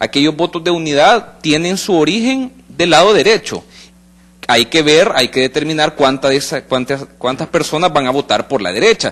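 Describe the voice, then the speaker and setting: A man with a plain, everyday voice talks at a moderate pace, his fairly high pitch carried by lively intonation. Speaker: political analyst. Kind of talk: panel discussion on live radio/TV talk show.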